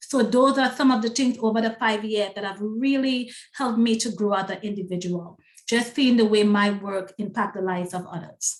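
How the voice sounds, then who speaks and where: A woman with a strong Trinidadian accent, fairly high pitch, ordinary pitch variation, a somewhat breathy quality and a moderate pace. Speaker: self-publishing consultant and book coach. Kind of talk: interview.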